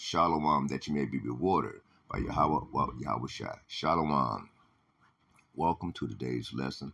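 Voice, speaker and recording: On a very clean recording with a silent background, a man talks at a fairly slow pace with vocal fry. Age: 60s. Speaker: religious teacher. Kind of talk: religious lesson. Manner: halting, many fillers.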